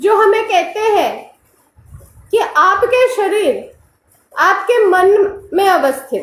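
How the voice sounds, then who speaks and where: Amid audible room echo, a woman speaks at an extremely high pitch with ordinary pitch variation and big swings in loudness. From Bengal, India. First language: Bengali (speaking Hindi). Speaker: spiritual teacher. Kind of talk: lecture.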